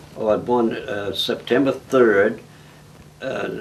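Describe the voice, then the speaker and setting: A man with an American accent at a fairly slow pace, fairly even in intonation, over noticeable background noise. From New England, central Massachusetts. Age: 90s. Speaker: elderly farm-raised interviewee. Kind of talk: oral history interview. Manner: halting.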